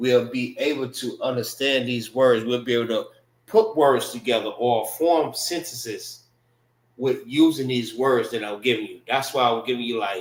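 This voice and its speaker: Here is an ordinary speaking voice from a man at a medium pitch. He keeps a moderate pace and fairly even intonation. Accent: American. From Florida, Tampa. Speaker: religious group teacher. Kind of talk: language class. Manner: casual, repetitive with fillers.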